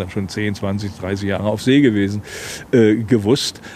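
At a moderate pace, a man with a fairly low voice talks while noticeable background noise plays behind him. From Rügen, northeastern Germany. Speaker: author and former fisherman. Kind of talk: casual chat. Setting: outdoors.

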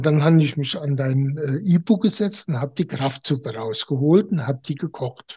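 The man's voice sits at a fairly high pitch and is somewhat breathy. His intonation is lively and his pace moderate. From Germany. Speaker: naturopath. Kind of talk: interview. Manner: halting.

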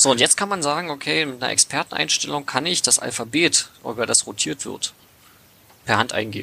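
Vocal fry runs through this fairly quick speech, which has very wide pitch swings. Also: man, medium pitch for a man. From Brandenburg, Lausitz region. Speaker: hobby app developer. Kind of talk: casual podcast interview. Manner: halting, many fillers.

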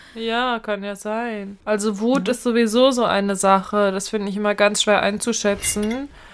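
A woman speaks at a moderate pace with hardly any pauses, her pitch fairly high and her intonation fairly even. She has a plain, everyday voice. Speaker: podcast co-host and actress. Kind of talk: casual chat. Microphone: new voice microphone.

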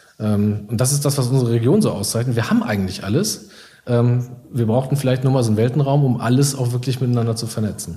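A man talks very fast at a medium pitch with ordinary pitch variation. The room echo is audible, and background noise is noticeable. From Iserlohn, Sauerland, Germany. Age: 30s. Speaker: coworking space founder. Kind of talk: interview.

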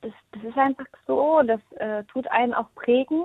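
A woman talks at a moderate pace in a high-pitched voice. Her pitch varies in an ordinary way. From Thuringia, eastern Germany. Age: 30s. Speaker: hairdresser and salon team manager. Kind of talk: interview.

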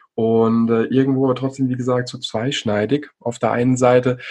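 Using an ordinary speaking voice, this man keeps a moderate pace at a medium pitch. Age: 30s. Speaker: golf podcast host. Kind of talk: casual interview chat.

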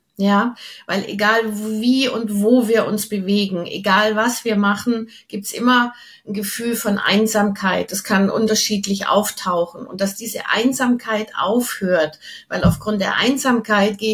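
Fairly even intonation from a woman at a medium pitch, with noticeable background noise. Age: 60s. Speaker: channeling coach, former opera singer. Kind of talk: interview.

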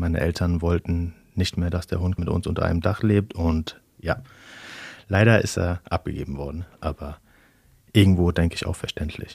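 Very deep and low, the man's voice is somewhat breathy. He keeps a moderate pace and fairly even intonation. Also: very clean recording, silent background. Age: 30s. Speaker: interview guest. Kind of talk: casual interview. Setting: studio.

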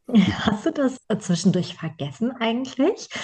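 Here is a woman's voice. Its tone is dark and mellow, and it sounds somewhat breathy. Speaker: podcast host and trainer. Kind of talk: casual chat.

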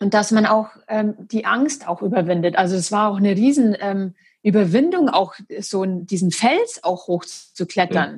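A woman speaks at a moderate pace in a somewhat breathy voice of medium pitch. Her pitch variation is ordinary, and the recording is very clean with a silent background. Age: 30s. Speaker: naturopath and amputee. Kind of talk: interview about her life story. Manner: halting with many fillers.

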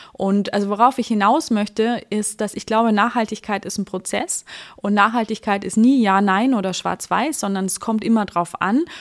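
A woman with a normal speaking voice, ordinary pitch variation and a moderate pace. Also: fairly high pitch for a woman. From rural Germany. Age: 30s. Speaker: online marketplace managing director. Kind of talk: podcast interview.

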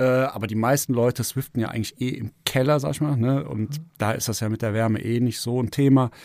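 A man speaks at a medium pitch in a normal speaking voice, moving at a fairly quick pace. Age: 40s. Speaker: amateur cycling racer. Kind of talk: casual chat.

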